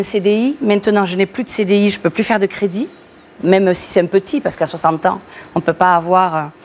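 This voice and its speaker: Very fast speech from a woman, her pitch varying in an ordinary way. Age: 60s. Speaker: bus driver. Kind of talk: TV interview. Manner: halting.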